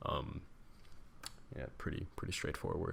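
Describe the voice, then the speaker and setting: A man speaks in a soft-spoken way. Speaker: tech tutorial youtuber. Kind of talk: tutorial. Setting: home at night. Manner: hesitant, many fillers.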